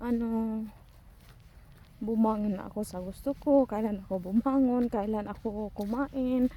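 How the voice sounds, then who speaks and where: A woman's dark, mellow tone, fairly high pitch and fairly slow pace. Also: fairly even intonation. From Philippines. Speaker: vlogger. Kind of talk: casual vlog monologue. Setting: outdoors, walking alone.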